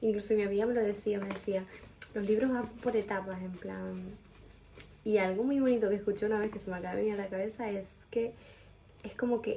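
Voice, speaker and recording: A soft-spoken woman talks at a fairly quick pace. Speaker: video blogger. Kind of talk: personal testimony, answering questions. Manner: quiet, speaking softly; casual, filler-heavy.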